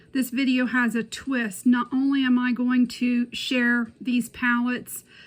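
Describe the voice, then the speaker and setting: Here a woman speaks with a Southern US accent. Her voice is high and her pace fairly slow. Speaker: beauty YouTuber. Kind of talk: product review tutorial. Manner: casual.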